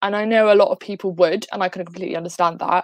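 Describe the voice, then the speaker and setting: With an English accent, a woman speaks with ordinary pitch variation in a dry, close sound with no echo. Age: 18. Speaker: student activist. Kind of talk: panel discussion.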